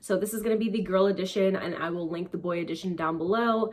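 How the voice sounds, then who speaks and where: Upbeat in tone, a woman speaks at a medium pitch over noticeable background noise. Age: 20s. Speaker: YouTuber. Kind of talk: casual talk to camera. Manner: chatty, upbeat.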